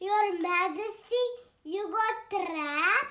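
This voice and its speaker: A cartoonish character voice at an extremely high pitch moves at a very slow pace. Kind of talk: puppet show for kids.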